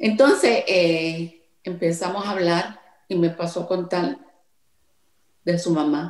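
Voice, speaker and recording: In a room with audible echo but a quiet background, a woman with a Puerto Rican accent and fairly low pitch speaks at a very slow pace, with ordinary pitch variation and long, frequent pauses. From Puerto Rico. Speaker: songwriter; interviewee. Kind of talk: interview. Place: home room. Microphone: video call.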